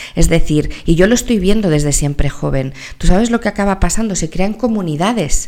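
A woman's animated, lively voice at medium pitch, at a fairly quick pace, over noticeable background noise. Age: 40s. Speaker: entrepreneur and company founder in elderly care. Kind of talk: interview.

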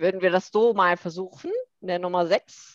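A woman talks at a fairly slow pace in a medium pitch. The sound is dry and close with no echo, over a quiet background. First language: Korean (speaking German). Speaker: language teacher. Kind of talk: casual chat.

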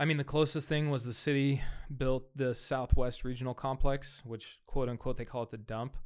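A man at medium pitch with an American accent, flat and monotone at a moderate pace, on a very clean recording with a silent background. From US West Coast (Fresno, California). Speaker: soccer club executive. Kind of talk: casual interview.

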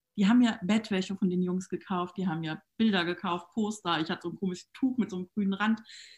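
A woman speaks at a very fast pace with hardly any pauses. Her voice is somewhat breathy, with fairly even intonation. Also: medium pitch for a woman. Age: 30s. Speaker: network marketing entrepreneur. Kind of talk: casual interview.

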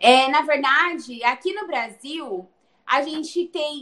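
A woman's high voice at a very slow pace, with lively intonation. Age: 20s. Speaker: pastor's daughter and nutrition student. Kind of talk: interview. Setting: remote recording. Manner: talkative.

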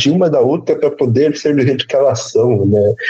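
A man with a dark, mellow tone sounds somewhat breathy, speaking at a moderate pace with lively intonation. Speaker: podcast host, psychologist. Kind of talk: casual chat.

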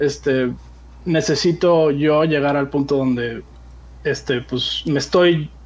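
At a fairly slow pace, a man is talking. His pitch varies in an ordinary way. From Mexico City. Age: 20s. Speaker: aspiring gaming youtuber. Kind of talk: casual interview. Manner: halting, many fillers.

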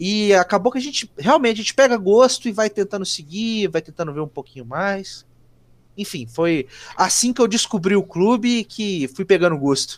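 With lively intonation and high pitch, a man speaks at a moderate pace in a very clean recording with a silent background. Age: 20s. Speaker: football fan page administrator. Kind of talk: casual chat.

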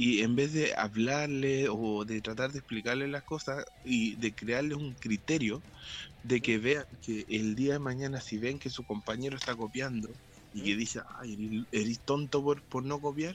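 A man with a Chilean accent and a medium pitch speaks at a fairly slow pace with fairly even intonation. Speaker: podcast co-host. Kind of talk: casual chat.

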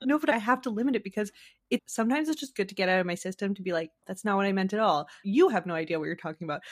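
In a dry, close sound with no echo, a woman at a medium pitch speaks with lively intonation on a very clean recording with a silent background. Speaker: TikTok creator and podcaster. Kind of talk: casual interview chat between friends.

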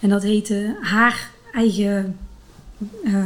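Over noticeable background noise, a woman with a fairly high pitch speaks in a fairly even intonation. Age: 40s. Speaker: physiotherapist and runner. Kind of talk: interview.

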